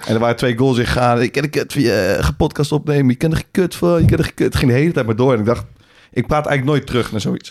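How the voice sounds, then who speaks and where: At a very fast pace, a man talks with medium pitch. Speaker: podcast co-host and football coach. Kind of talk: casual chat.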